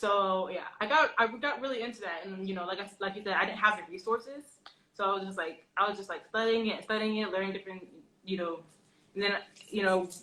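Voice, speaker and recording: A woman's medium-pitched voice at a very fast pace, with ordinary pitch variation. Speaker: artist. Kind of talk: interview. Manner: halting, stuttering.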